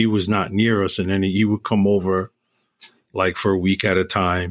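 In a New York accent, a man talks in a fairly low pitch with monotone, flat intonation. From New York City, East Harlem. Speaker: retired building manager and musician. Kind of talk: casual chat.

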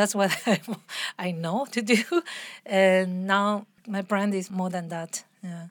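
With a Latin American accent, a woman of medium pitch speaks at a very slow pace with long, frequent pauses and fairly even intonation on a very clean recording with a silent background. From Argentina, Buenos Aires. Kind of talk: casual interview chat.

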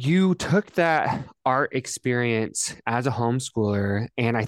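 Captured with a dry, close sound, no echo and a silent background in a very clean recording, a man speaks in a plain, everyday voice with ordinary pitch variation. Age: 20s. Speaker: podcast host. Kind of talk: interview.

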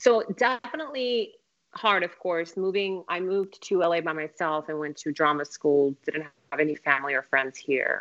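Using a plain, everyday voice, a woman speaks at a moderate pace with a fairly low pitch and lively intonation. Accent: American. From Afghanistan, then Moscow as a child, later US. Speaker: actress. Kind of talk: casual interview.

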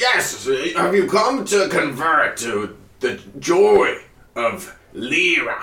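The man's speech is delivered very slowly. He puts on a character voice. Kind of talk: preacher's sermon. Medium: actual play. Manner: fervent, cultish, oddly cheerful.

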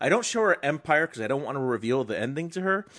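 A man with an unremarkable speaking voice talks at a fairly high pitch with lively intonation. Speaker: film podcast host. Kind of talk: casual chat.

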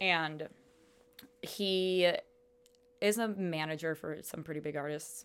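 A woman with an American accent, fairly low in pitch, talking at a very slow pace with long, frequent pauses, ordinary pitch variation and big swings in loudness. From US Midwest, Chicago area. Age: 20s. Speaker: music blog editor. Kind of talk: casual chat. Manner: animated.

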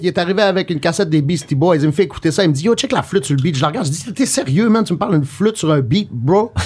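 A man talks at a very fast clip, with hardly any pauses. His voice is high and his intonation lively. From Quebec, Rimouski. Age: 30s. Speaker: music producer. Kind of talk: casual chat.

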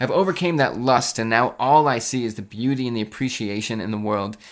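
In a very clean recording with a silent background, a man with a normal speaking voice talks at medium pitch and a fairly quick pace, with ordinary pitch variation. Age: 20s. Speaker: watch podcast host. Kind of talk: casual solo podcast talk. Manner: casual, filler-heavy.

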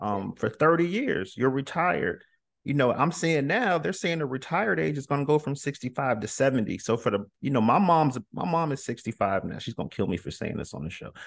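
A man's fairly high voice with vocal fry, very wide pitch swings, a moderate pace and hardly any pauses. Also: quiet background. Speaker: podcast host. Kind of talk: interview. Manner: casual, enthusiastic.

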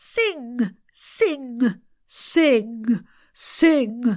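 A put-on character voice, female-sounding, nasal and high-pitched for a woman. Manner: instructional, repetitive vocal exercise.

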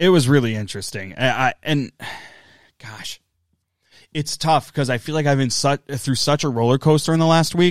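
Recorded very cleanly with a silent background and a dry, close sound with no echo, a man speaks at a fairly quick pace with ordinary pitch variation in a plain, everyday voice. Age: 30s. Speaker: wrestling podcast co-host. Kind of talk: casual chat.

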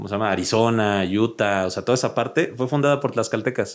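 Medium pitch and moderate pace from a man, with ordinary pitch variation. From Mexico, raised in Oaxaca and Mexico City. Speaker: history content creator. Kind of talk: casual chat.

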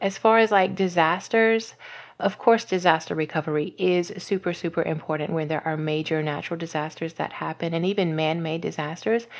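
A woman speaks at a fairly quick pace with an American accent in an ordinary speaking voice, her pitch fairly low with ordinary variation. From US South, Louisiana. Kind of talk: interview.

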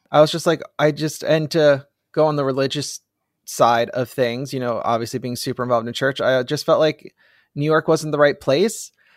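A man with an American accent talks at a fairly high pitch, with fairly even intonation. It is an unremarkable speaking voice, recorded with a dry, close sound and no echo. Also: moderate pace, very clean recording, silent background. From New Jersey. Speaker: film marketing director. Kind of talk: casual chat.

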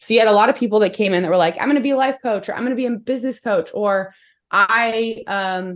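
Against a quiet background, a woman talks at a very fast pace. Her pitch is fairly high with ordinary variation. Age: 30s. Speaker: business coach. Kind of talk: casual chat.

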